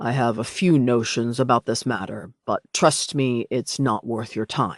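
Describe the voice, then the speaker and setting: The speaker is a man doing a put-on character voice. It stays at a medium pitch. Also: moderate pace. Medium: read story. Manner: calm, condescending.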